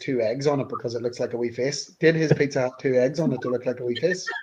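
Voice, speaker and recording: A man's very fast, dark, mellow voice with a strong Northern Irish accent. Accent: Northern Irish (Newry), strong. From Northern Ireland, Newry. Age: middle-aged. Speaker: band member. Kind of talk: casual chat.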